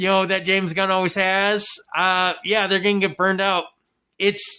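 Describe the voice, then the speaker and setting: Shouting in a raised, projected voice with a bright, sharp tone, monotone, flat intonation and a moderate pace, in a very clean recording with a silent background. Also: man, high pitch for a man. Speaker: podcast host. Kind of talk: casual movie review rant. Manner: loud, yelling.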